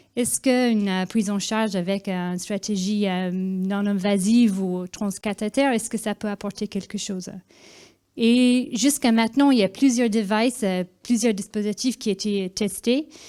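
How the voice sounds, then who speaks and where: On a very clean recording with a silent background, a woman with a slight Irish accent speaks at a fairly slow pace in a dark, mellow tone, with medium pitch, ordinary pitch variation and big swings in loudness. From Ireland. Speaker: cardiologist. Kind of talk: conference presentation. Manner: hesitant, many fillers.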